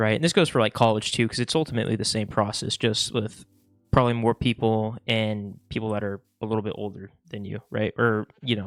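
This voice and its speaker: Music plays behind a man talking at a fairly quick pace and fairly low pitch, his intonation fairly even. He leaves long, frequent pauses, and the sound is dry and close with no echo. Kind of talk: casual talk to camera.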